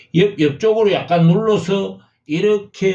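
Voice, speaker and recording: A man speaks with a dark, mellow tone. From Gyeongsang province, South Korea. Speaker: calligraphy teacher, YouTuber. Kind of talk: tutorial. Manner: hesitant, many fillers.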